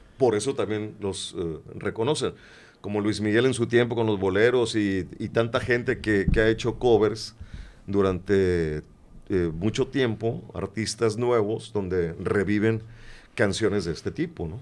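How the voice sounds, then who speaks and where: Fairly slow delivery in an ordinary speaking voice, its pitch varying in an ordinary way. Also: man, fairly low pitch for a man. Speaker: radio announcer. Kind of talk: interview answer.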